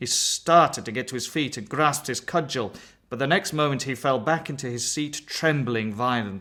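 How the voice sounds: This recording presents a natural reading voice.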